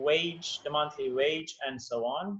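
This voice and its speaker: At a very slow pace, a man talks at a fairly high pitch with fairly even intonation amid noticeable background noise. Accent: non-native. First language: not English. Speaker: English teacher. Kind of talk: interview.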